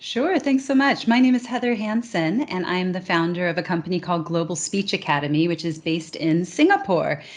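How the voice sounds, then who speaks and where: Lively in intonation, a woman with an American accent and medium pitch talks at a fairly quick pace with hardly any pauses. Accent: American accent others comment on abroad. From California. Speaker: communication trainer. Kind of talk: interview.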